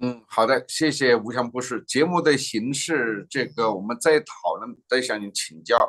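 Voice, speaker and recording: The speech runs at a fairly slow pace with hardly any pauses and ordinary pitch variation. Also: man, medium pitch for a man. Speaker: political news show host. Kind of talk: political talk show. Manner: chatty, animated.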